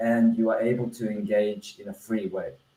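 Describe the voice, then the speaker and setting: The man's voice has a dark, mellow tone and lively intonation. It is somewhat breathy. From Australia. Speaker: edtech founder presenting his platform. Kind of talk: online webinar presentation. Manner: hesitant, many fillers and restarts.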